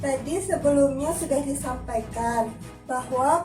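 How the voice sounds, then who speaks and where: Music plays in the background as a woman speaks at a high pitch and a fairly slow pace. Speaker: family support program facilitator. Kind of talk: group session facilitation.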